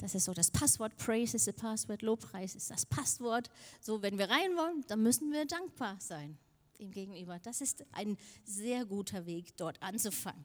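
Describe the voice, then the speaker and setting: With lively intonation, a woman speaks at medium pitch and a moderate pace. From Denmark. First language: Danish (speaking German). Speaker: preacher. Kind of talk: sermon.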